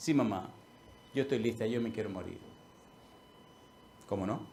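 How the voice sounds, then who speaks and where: A man with a dark, mellow tone and medium pitch speaks at a moderate pace, somewhat breathy, with ordinary pitch variation and audible room echo. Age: 60s. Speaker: pastor. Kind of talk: sermon.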